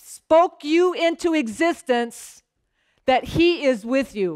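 Around the speaker, the background stays quiet. A woman talks at a fairly slow pace. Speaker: pastor. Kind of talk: sermon. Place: church. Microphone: headset.

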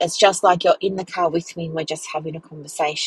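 A woman speaks with a somewhat breathy voice at a fairly low pitch. The sound is dry, with no echo. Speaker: podcast host. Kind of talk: casual podcast chat. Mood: relaxed, warm, chatty. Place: car. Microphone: earbuds.

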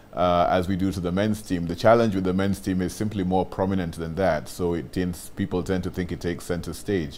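The pace is fairly quick, and the intonation stays fairly even. There is light background noise. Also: man, very deep, low pitch for a man. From Kenya. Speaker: rugby team official. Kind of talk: interview. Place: studio.

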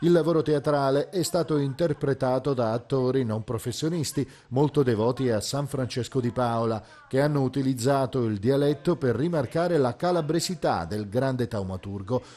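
Noticeable background noise sits behind a man speaking at a moderate pace in a medium pitch with ordinary pitch variation. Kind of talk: TV news report narration.

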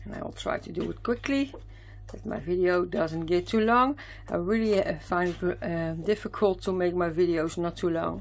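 A woman speaks at a fairly low pitch with ordinary pitch variation and a moderate pace. Her loudness swings widely. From Netherlands. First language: Dutch. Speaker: craft youtuber. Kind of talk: product haul video. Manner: hesitant, many fillers. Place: home room.

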